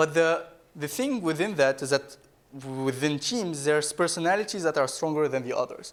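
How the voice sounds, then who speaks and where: Speaking at a very fast pace with a non-native accent, the voice shows ordinary pitch variation. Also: man. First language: not English. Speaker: startup founder and keynote speaker. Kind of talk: keynote talk. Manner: halting.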